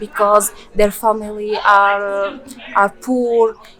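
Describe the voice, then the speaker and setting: Speaking very slowly in a Moroccan accent, a woman holds a medium pitch with monotone, flat intonation. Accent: Moroccan Berber-accented English. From rural Morocco. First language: Berber. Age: 20s. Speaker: former student of an NGO. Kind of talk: interview. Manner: halting, many fillers and repetitions.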